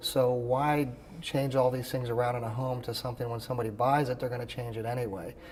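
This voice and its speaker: Over noticeable background noise, a man with a medium pitch talks at a very fast pace in a monotone, flat intonation. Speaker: expert auctioneer. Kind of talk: interview answer. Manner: conversational, with filler words.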